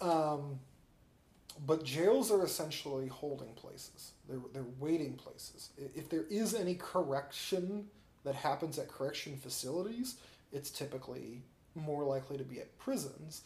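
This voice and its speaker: Speaking in a Midwestern US accent, a man uses a fairly high pitch with ordinary variation, a somewhat breathy voice, a moderate pace and big swings in loudness. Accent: US Midwest. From Peoria, Illinois. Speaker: activist and journalist. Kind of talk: casual interview.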